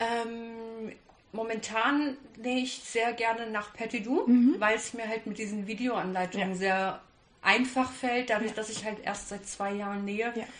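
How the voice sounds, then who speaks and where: There is audible room echo as a woman speaks at a fairly slow pace. Her voice is fairly high in pitch, with fairly even intonation. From Kassel, Germany. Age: 30s. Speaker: hobby sewist. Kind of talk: casual interview. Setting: sewing weekend retreat.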